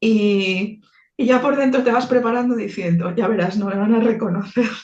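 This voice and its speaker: Somewhat breathy voice at a moderate pace with ordinary pitch variation, plus audible room echo. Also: woman. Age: 60s. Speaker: theologian and icon painter. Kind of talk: interview. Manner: halting, with many repetitions.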